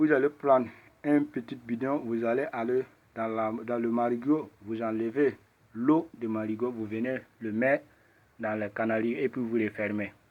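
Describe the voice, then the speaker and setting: Fairly slow delivery with a non-native accent and fairly even intonation. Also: man, medium pitch for a man. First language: not French (speaking French). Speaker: ritual practitioner. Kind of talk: tutorial. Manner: halting.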